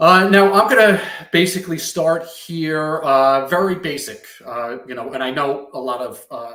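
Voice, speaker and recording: A man's bright, sharp tone with a Long Island accent, plus audible room echo. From Long Island, New York. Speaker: software company partner success manager. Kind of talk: product demo presentation. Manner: halting, many fillers.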